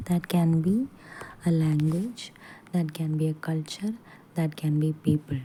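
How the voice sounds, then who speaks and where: This speaker talks at a fairly slow pace with a Keralan accent. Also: woman. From Kerala, India. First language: Malayalam. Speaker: teacher. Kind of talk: lecture. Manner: halting.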